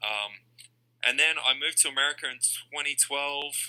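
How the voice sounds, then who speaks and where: This man has an Australian accent. His tone is bright and sharp. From Australia, Perth. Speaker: card collector. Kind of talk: casual chat.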